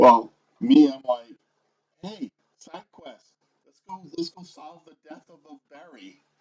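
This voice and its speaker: A man with a Rhode Island accent speaks very slowly at a fairly high pitch, using very wide pitch swings, big swings in loudness and long, frequent pauses, in a dry, close sound with no echo. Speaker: tabletop game player. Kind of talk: casual tabletop game chat.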